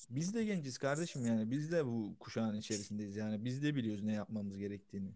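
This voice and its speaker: An ordinary speaking voice from a man, medium in pitch, with ordinary pitch variation and a fairly quick pace. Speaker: podcast co-host. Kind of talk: casual chat. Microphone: distant, too far from mic.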